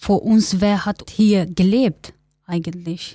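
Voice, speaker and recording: A woman's medium-pitched, somewhat breathy voice with a dark, mellow tone and ordinary pitch variation, at a very slow pace, dry and close with no echo on a very clean recording against a silent background. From Kurdistan, Turkey. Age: 20s. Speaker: interviewee, migrant activist. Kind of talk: interview.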